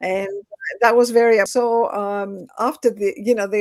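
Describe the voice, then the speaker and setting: In a Greek accent, a woman talks at a fairly slow pace with fairly even intonation. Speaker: educator. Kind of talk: interview. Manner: halting.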